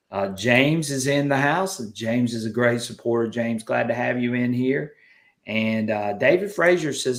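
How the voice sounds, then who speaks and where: With a Southern US accent, a man speaks at a moderate pace and medium pitch, his intonation lively. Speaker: metal detecting channel host. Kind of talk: live stream chat. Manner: animated.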